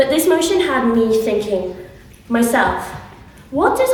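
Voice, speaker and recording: With an English accent, a woman speaks at a fairly slow pace in a high pitch with very wide pitch swings. The room echo is audible and the background noise noticeable. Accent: English-sounding. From England (Nottingham), raised in Ireland (Westmeath). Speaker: student debater. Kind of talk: debate speech.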